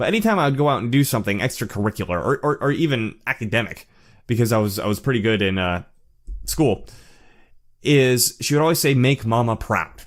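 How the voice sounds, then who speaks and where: Lively intonation at a fairly quick pace, on a very clean recording with a silent background. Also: man, medium pitch for a man. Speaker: channel host discussing narcissism. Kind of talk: personal monologue. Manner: halting, many fillers and repeats; voice rises when excited.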